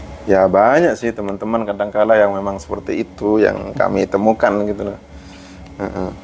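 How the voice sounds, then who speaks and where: Through noticeable background noise, a man speaks at a moderate pace in a fairly low pitch with ordinary pitch variation. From Madura, Sumenep. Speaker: university librarian. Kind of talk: podcast interview. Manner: halting, many fillers.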